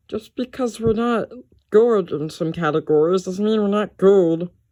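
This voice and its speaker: Someone performs a put-on character voice at a middle pitch in a very clean recording with a silent background. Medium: machinima.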